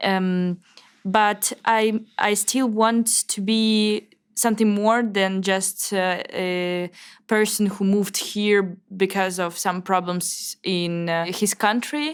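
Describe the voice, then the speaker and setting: A woman with a Russian accent at a medium pitch, very slow in pace, her intonation fairly even, on a very clean recording with a silent background. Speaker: Russian emigrant journalist. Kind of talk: interview. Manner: halting.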